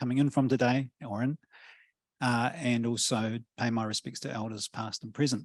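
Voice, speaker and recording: With a dry, close sound and no echo, a man of medium pitch talks at a moderate pace with fairly even intonation. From New Zealand. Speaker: professor. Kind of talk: panel discussion. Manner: hesitant, many fillers.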